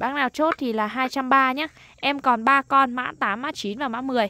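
A woman projects her voice in a raised, high-pitched delivery with a bright, sharp tone and ordinary pitch variation, the sound dry with no echo. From Lai Châu, northern Vietnam highlands. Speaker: online knife seller. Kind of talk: sales pitch. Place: open country. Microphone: phone near.

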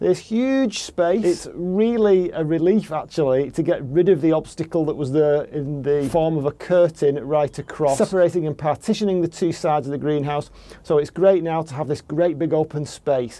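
A man with a dark, mellow tone talks at a moderate pace with hardly any pauses and ordinary pitch variation. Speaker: gardening vlogger. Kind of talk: casual vlog chat. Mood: pleased, relaxed. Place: garden. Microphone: phone near.

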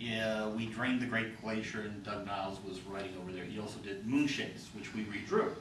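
Fairly quick male speech, with audible room echo and noticeable background noise. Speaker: game and fiction writer. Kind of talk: panel discussion. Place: hall. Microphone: camera far.

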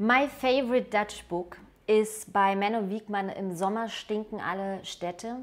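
This woman has a German accent and a fairly high pitch. Her intonation stays fairly even at a fairly slow pace. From Germany. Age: 30s. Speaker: writer and journalist recommending a book. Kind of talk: book recommendation, then reading a poem aloud in German. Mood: warm, enthusiastic. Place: home room. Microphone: lapel.

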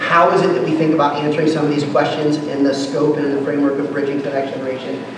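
A man's voice with noticeable background noise and audible room echo. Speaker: pastor. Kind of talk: conference workshop talk. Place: hall.

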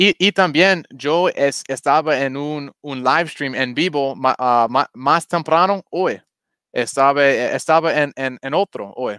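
A man with an English accent, bright and sharp in tone, fairly high in pitch with ordinary pitch variation, at a very slow pace, in a dry sound with no echo over a quiet background. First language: English (speaking Spanish). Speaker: crypto YouTuber. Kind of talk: livestream crypto chat. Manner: halting. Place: home room. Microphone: headset.

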